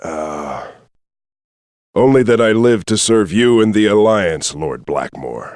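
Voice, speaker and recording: Someone uses a put-on character voice at a fairly slow pace, leaving long, frequent pauses. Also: man, medium pitch for a man. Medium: video game.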